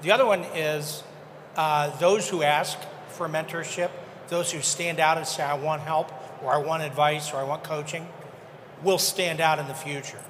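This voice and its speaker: A man with a fairly high pitch talks at a moderate pace, taking long, frequent pauses. His intonation is fairly even, and noticeable background noise runs beneath him. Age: 70s. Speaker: audience member. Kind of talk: audience comment. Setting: stage with audience.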